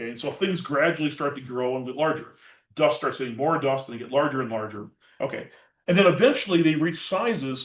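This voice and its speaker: A man with an American accent, lively intonation and a very fast pace. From Minnesota. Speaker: planetary scientist. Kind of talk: public science lecture.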